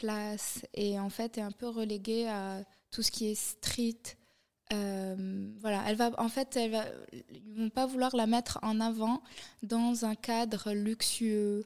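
Her pitch fairly high and her intonation monotone and flat, a woman speaks at a very slow pace. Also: very clean recording, silent background. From Morocco. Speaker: fashion designer and influencer. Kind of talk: interview. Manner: hesitant, many fillers.

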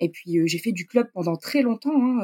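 In a dry, close recording with no echo, a woman speaks with a dark, mellow tone and ordinary pitch variation. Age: 30s. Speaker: amateur rider, horse owner. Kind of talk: personal testimony in interview.

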